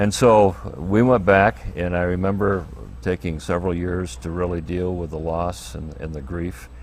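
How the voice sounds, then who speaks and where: This man has a very deep, low pitch and an American accent, with ordinary pitch variation. He speaks at a moderate pace, and room echo can be heard. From US, Air Force family, mostly Michigan and Florida. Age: 70s. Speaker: pastor. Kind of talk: interview, personal life story. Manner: halting, many fillers.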